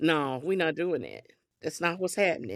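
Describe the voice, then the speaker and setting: With a Southern US accent, a woman speaks in an animated tone with vocal fry, on a very clean recording with a silent background. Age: 60s. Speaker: podcast guest. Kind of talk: casual chat.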